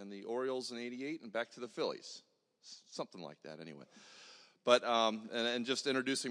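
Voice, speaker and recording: A man with a plain, everyday voice talks in a medium pitch with ordinary pitch variation. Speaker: church men's group organizer. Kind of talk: introduction and prayer. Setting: church.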